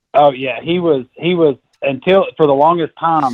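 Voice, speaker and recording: A man with a Southern accent speaks with fairly even intonation. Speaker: novice turkey hunter telling a hunt story. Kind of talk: casual podcast chat, storytelling.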